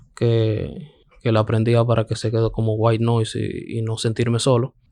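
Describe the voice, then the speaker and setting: This is a man's voice. The tone is dark and mellow. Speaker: stand-up comedian. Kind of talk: casual chat. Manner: monotone.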